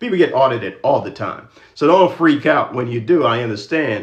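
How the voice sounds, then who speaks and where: A man speaks in a somewhat breathy voice. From Jamaica. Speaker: credit and finance educator. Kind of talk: livestream talk with motivational speech. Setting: social media livestream. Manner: fast.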